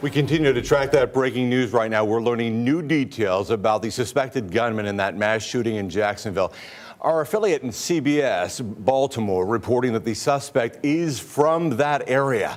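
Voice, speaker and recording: A man with an ordinary speaking voice talks at a moderate pace and medium pitch, using ordinary pitch variation and hardly any pauses. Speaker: television news anchor. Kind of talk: live TV news anchoring. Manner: serious, urgent.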